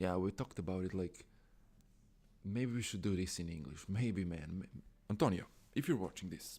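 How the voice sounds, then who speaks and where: Spoken at a moderate pace in a non-native accent, with a dark, mellow tone. Long, frequent pauses break up the delivery. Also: man, very deep, low pitch for a man, ordinary pitch variation. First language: Croatian or Serbian. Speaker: music blogger and YouTuber. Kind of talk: casual live stream talk. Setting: live stream. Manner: halting.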